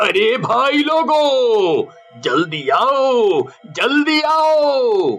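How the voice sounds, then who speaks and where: A man's put-on character voice, extremely high in pitch, with faint music in the background. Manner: panicked, shouting.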